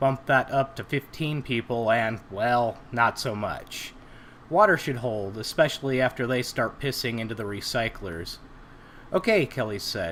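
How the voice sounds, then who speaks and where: Here a man talks at a medium pitch. His pitch variation is ordinary. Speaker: amateur audiobook narrator. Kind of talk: audiobook narration of a sci-fi short story. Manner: plain, natural reading without character voices.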